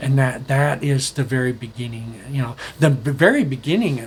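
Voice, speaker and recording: Fairly even intonation marks this man's speech, pitched in the medium range. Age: 60s. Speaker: solo video blogger on current events. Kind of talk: casual monologue. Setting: recording alone. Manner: halting, many fillers and restarts.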